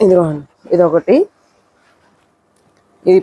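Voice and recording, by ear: Slowly and with a fairly low pitch, a woman speaks in a dry, close sound with no echo.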